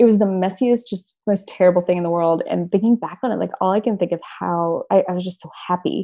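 Speaking very fast with hardly any pauses, a woman uses a dark, mellow tone at medium pitch and fairly even intonation. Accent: American. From US South, Texas, Memphis and eastern Arkansas. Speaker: sports editor. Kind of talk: casual interview.

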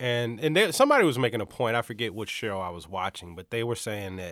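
A man speaks in an ordinary speaking voice at a medium pitch, with ordinary pitch variation. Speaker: sports podcast co-host. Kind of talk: casual banter.

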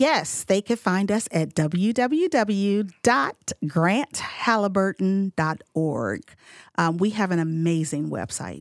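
A woman's speech unfolds at a very slow pace. Her intonation is lively. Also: medium pitch for a woman. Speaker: outreach and education director at a mental health nonprofit. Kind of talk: casual interview chat.

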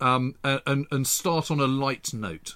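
A man speaks with an English accent at a medium pitch. His tone is bright and sharp. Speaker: historian, podcast co-host. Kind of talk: casual chat.

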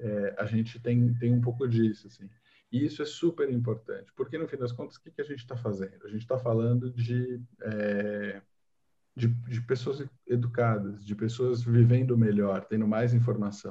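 At a moderate pace, a man with a medium pitch and a dark, mellow, somewhat breathy tone speaks with fairly even intonation and big swings in loudness. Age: 20s. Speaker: technology journalist. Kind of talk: casual chat.

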